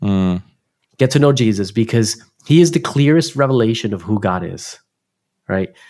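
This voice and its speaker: A man with a New Jersey accent, a medium pitch, lively intonation and a fairly slow pace. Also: very clean recording, silent background. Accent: New Jersey American. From US Northeast, Newark, New Jersey. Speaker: pastor. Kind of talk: interview.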